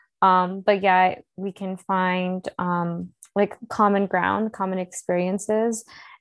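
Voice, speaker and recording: Against a quiet background, the speaker uses an American accent and monotone, flat intonation, the sound dry and close with no echo. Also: woman. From North Carolina. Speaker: outdoor educator and climber. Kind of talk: interview.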